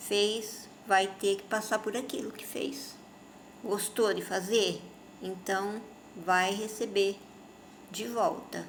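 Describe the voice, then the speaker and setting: Amid audible room echo, a woman speaks very slowly at a medium pitch. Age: 60s. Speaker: spiritist speaker. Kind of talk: informal religious talk to camera.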